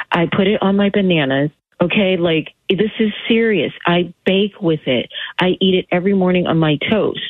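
At a moderate pace and medium pitch, a woman with a plain, everyday voice talks with very even loudness and ordinary pitch variation. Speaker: caller. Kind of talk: casual phone chat on a radio game. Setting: phone call.

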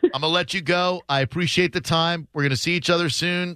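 Speech in a bright, sharp tone rushes at a very fast pace, dry and close with no echo over a quiet background. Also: man. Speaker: radio show host. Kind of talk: casual radio talk show. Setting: radio studio.

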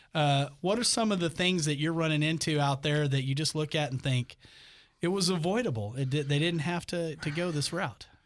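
On a very clean recording with a silent background, a man with a plain, everyday voice speaks at a fairly quick pace, his fairly high pitch showing ordinary variation. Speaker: radio host. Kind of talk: radio dj patter. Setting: studio. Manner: upbeat, friendly, chatty host.

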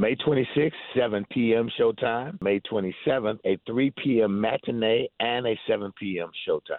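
A man speaks at a moderate pace and a medium pitch, with ordinary pitch variation and a dry, close sound with no echo.

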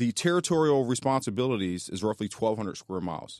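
Lively intonation marks this man's unremarkable speaking voice, medium in pitch, delivered at a fairly quick pace with an American accent in a very clean, silent, dry, close recording with no echo. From North Philadelphia, US. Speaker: county sheriff. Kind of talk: radio interview. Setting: radio studio.

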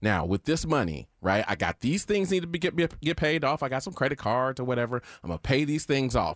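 Fairly quick and with hardly any pauses, the voice shows vocal fry and very wide pitch swings, recorded dry and close with no echo. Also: man, medium pitch for a man. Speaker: show producer, co-host. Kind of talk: casual banter.

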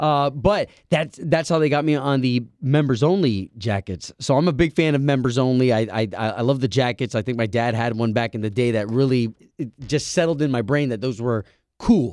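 Speaking at a moderate pace, a man with an unremarkable speaking voice has a medium pitch and ordinary pitch variation. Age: 30s. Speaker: radio host. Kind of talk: casual chat.

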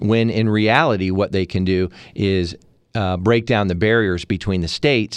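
Fairly low male voice at a moderate pace, with ordinary pitch variation and a quiet background. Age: 40s. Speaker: politician running for Congress. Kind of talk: radio interview. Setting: studio. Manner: hesitant with many filler words.

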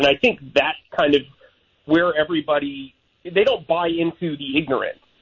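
A man with an unremarkable speaking voice talks at a fairly high pitch. His intonation is lively and his pace moderate. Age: 30s. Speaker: sports beat reporter. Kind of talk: radio interview.

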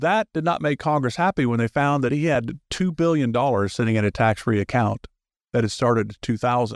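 Recorded very cleanly against a silent background with a dry, close sound and no echo, a man with an ordinary speaking voice and medium pitch speaks at a fairly quick pace with lively intonation and very even loudness. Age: 60s. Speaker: radio host. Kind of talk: radio talk show interview. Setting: studio.

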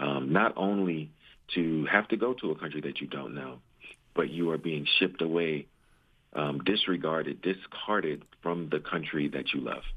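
A man talks at a moderate pace with an American accent. His very deep, low pitch varies in an ordinary way. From Belize-born, raised in the US. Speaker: congressional candidate, military veteran. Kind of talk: radio interview. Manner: halting, with many fillers.

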